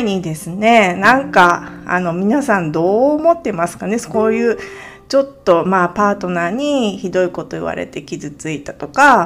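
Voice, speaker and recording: Her pitch swings very widely as the woman speaks at a fairly slow pace. Noticeable background noise can be heard. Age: 40s. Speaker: podcast host, part-time homemaker. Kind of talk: casual monologue. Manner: halting, many fillers.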